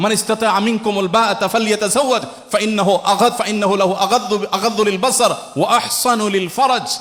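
A man with a high-pitched voice keeps his intonation fairly even over noticeable background noise. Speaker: Islamic preacher answering audience questions. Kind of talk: Islamic sermon (waz) answering a question from the audience.

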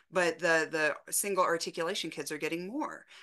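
A woman with a normal speaking voice and a fairly low pitch talks at a moderate pace against a quiet background. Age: 40s. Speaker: speech-language pathologist. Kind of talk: casual chat. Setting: video call.

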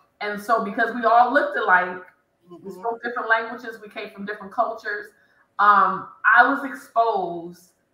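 The voice has ordinary pitch variation, with audible room echo around it. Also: woman. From Detroit, Michigan. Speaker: engineer; panelist. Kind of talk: panel discussion. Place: home room. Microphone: video call.

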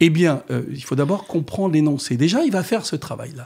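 A man's somewhat breathy voice, fairly quick, with lively intonation over a quiet background. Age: 70s. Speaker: mayor. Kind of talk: radio interview. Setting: radio studio. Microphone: studio mic.

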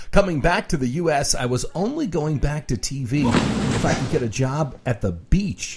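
At a moderate pace, a man talks at medium pitch against noticeable background noise. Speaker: TV meteorologist and radio host. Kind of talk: demo reel narration.

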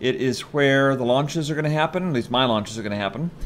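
Light background noise sits behind a man speaking at a medium pitch. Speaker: gaming video creator. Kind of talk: casual gameplay commentary. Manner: chatty, excitable.

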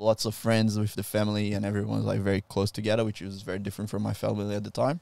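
In a Brazilian accent, a voice with a dark, mellow tone rushes at a very fast pace with monotone, flat intonation, over a quiet background with a dry sound and no echo. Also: man. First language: Portuguese. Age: 20s. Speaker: jiu-jitsu practitioner and instructor; instructor. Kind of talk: casual interview. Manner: laughs often. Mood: reflective, personal storytelling. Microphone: handheld.

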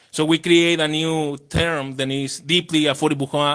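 In a Spanish accent, a man speaks with a fairly high pitch and a monotone, flat intonation. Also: very clean recording, silent background. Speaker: housing nonprofit presenter. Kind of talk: public presentation.

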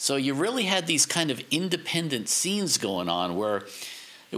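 A man talks at a fairly high pitch and a moderate pace. His pitch swings very widely. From New York. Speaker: podcast host, audio professional; podcast host. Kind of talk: casual interview. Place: studio.

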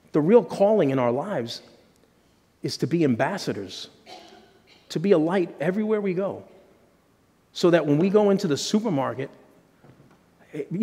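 Lively intonation at a moderate pace. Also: man. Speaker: pastor. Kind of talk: sermon. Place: church.

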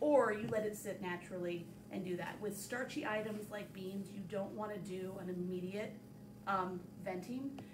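A woman's voice at a moderate pace over noticeable background noise. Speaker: cooking instructor. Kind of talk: tutorial. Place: kitchen. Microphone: camera far.

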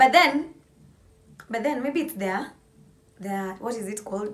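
The speaker is a woman. Her pitch shows ordinary variation. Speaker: vlogger. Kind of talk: casual vlog chat. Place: home room. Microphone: phone near.

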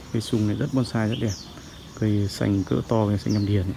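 A man at a moderate pace against noticeable background noise. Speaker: bonsai hobbyist vlogger. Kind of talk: casual vlog monologue. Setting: outdoors in garden. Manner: casual, chatty. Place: garden. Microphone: phone near.

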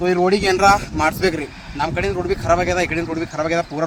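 A man speaks over noticeable background noise. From Bidar district, north Karnataka. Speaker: vlogger, petrol pump worker. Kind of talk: travel vlog narration. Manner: casual, chatty.

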